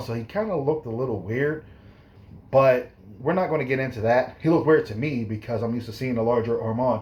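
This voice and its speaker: A somewhat breathy man's voice at a very fast pace. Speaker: fitness youtuber and personal trainer. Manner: rambling, self-correcting.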